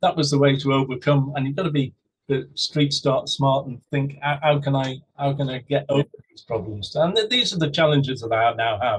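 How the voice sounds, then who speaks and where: A man with an English accent talks at a fairly quick pace with hardly any pauses. His voice is fairly high and somewhat breathy. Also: ordinary pitch variation. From England. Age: 60s. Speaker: husband telling his love story. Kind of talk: interview, personal story.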